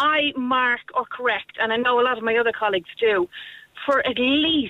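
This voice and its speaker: A woman speaks with an Irish accent. Her high voice has a cheerful tone. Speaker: youth programme teacher. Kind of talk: radio phone-in.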